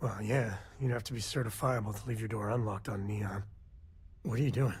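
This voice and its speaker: Putting on a raspy character voice, a man speaks at a fairly quick pace with a medium pitch and fairly even intonation. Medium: video game. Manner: laid-back, wry.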